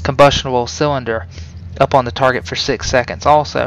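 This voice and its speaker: Over noticeable background noise, a man talks at medium pitch. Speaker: video game guide creator. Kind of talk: tutorial. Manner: fast; casual with many fillers.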